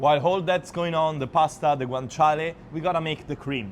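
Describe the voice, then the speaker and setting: A man speaks with a fairly high pitch and an Italian accent. His intonation is lively. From Abruzzo, Italy. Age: 20s. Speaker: chef. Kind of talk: cooking tutorial talk to camera. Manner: casual.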